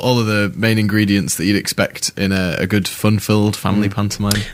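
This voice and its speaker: Noticeable background noise accompanies a man talking at a fairly low pitch. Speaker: amateur pantomime actor. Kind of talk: radio interview answer.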